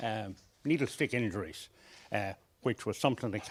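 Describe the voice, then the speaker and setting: His voice sits in the medium pitch range. The man goes at a moderate pace. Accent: Irish. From Ireland. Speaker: session chair at health workforce workshop. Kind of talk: conference session introduction. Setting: conference livestream. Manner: hesitant, frequent fillers.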